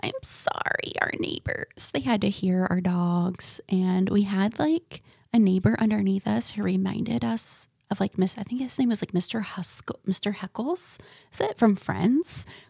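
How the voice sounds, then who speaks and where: A woman with an American accent at a fairly slow pace, somewhat breathy, with lively intonation, in a dry, close sound with no echo. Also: medium pitch for a woman. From central Florida. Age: 20s. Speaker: podcast host. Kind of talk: casual monologue. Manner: animated.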